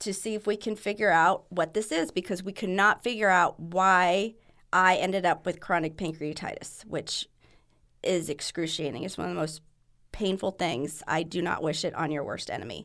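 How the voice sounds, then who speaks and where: Recorded very cleanly against a silent background, a woman with an American accent speaks in a bright, sharp tone. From California, San Diego. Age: 50s. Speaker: marathon runner with cystic fibrosis. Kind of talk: casual interview.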